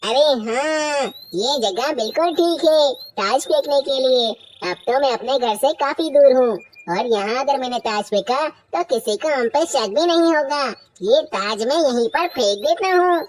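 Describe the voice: A cartoonish character voice, female-sounding and high-pitched, moves along at a moderate pace.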